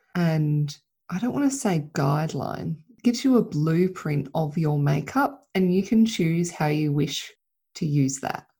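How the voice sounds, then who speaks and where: A woman's fairly low, somewhat breathy voice with a dark, mellow tone. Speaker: podcast host and mentor for mothers. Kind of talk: solo monologue podcast. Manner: unscripted, loosely rambling.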